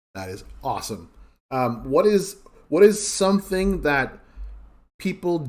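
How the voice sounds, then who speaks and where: A man with an American accent speaks in an animated tone. His pitch swings very widely. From Michigan. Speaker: talk show host. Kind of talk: casual chat. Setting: live stream. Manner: stutter.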